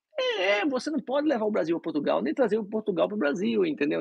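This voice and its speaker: A man at a fairly quick pace, with very wide pitch swings and a dry, close sound with no echo. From Brazil (Recife). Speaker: dentist. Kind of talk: interview. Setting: live stream.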